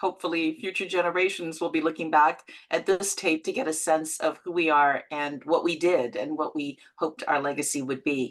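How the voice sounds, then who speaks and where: In a Canadian accent, a woman with a plain, everyday voice speaks at a fairly low pitch and a moderate pace. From London, England, then Canada from age 12. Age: 60s. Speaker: actor and producer. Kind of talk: interview.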